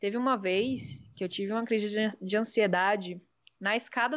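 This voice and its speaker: Speaking at a moderate pace, a woman has a fairly high pitch. Hers is a plain, everyday voice. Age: 20s. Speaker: psychoanalyst. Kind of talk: casual chat.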